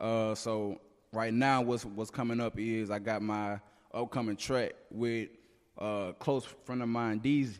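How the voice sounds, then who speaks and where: In a Mississippi accent, a man of medium pitch speaks fairly slowly with monotone, flat intonation. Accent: Southern US (Mississippi). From Mississippi, North Jackson. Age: 20s. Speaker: rapper. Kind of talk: casual interview. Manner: halting, many fillers.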